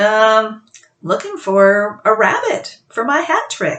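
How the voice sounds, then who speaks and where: In a put-on character voice, a female-sounding speaker talks very slowly at a fairly high pitch. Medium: read story.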